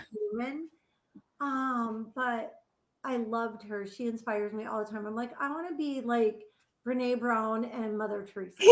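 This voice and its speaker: This is a woman with an unremarkable speaking voice and a fairly high pitch. She talks at a moderate pace with fairly even intonation. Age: 60s. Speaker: nonprofit founder, family recovery advocate. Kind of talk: interview.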